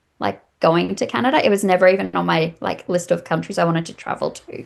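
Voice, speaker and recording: A woman with an Australian accent, at a very fast pace. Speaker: massage therapist. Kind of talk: interview.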